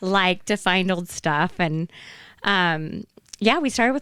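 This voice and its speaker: With an American accent, a woman speaks fairly slowly in a plain, everyday voice with lively intonation. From Idaho, Magic Valley. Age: 50s. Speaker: flea market founder. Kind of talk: casual interview.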